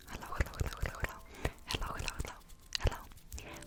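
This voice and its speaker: A woman is whispering. Music plays in the background. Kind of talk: ASMR tattoo show and tell, whispered talk to camera. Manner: whispered, soft, intimate.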